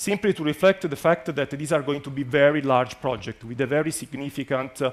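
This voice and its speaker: Pitched fairly high, a man speaks. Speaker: EU program official presenting a funding call. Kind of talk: conference presentation. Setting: conference venue with live and online audience. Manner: fast.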